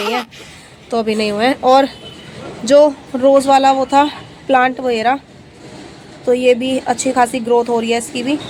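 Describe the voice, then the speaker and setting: There is noticeable background noise behind a woman with a high pitch. She keeps a moderate pace and a monotone, flat intonation. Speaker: vlogger and mother. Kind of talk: casual vlog narration. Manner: soft-spoken.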